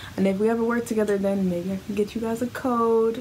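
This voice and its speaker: Over light background noise, a woman talks with ordinary pitch variation. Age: 20s. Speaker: beauty vlogger. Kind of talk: unboxing review. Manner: casual, chatty. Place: home room.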